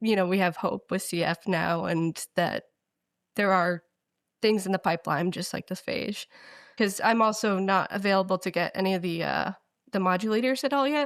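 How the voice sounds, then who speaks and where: A woman uses a normal speaking voice at medium pitch and a moderate pace, with ordinary pitch variation, in a very clean recording with a silent background and dry, close sound with no echo. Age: young. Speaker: patient with cystic fibrosis. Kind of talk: interview.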